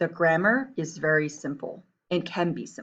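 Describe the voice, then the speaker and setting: A woman with an American accent speaks at a fairly low pitch. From Taiwan and US, back and forth. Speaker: Chinese teacher. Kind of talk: reading aloud; lecture. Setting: screencast.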